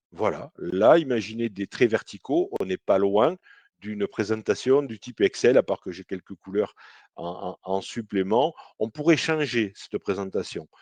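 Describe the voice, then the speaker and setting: A man's medium-pitched voice with lively intonation at a fairly slow pace, dry and close with no echo, over a quiet background. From southern France, Toulouse. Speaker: CRM consultant. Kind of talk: software demo webinar. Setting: live online webinar. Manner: hesitant, many fillers.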